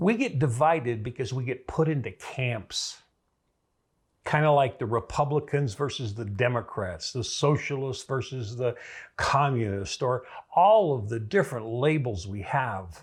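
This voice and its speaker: Recorded very cleanly against a silent background, a man with an American accent speaks fairly slowly at a medium pitch, somewhat breathy, with lively intonation. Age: 70s. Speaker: political commentator. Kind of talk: monologue. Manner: conversational.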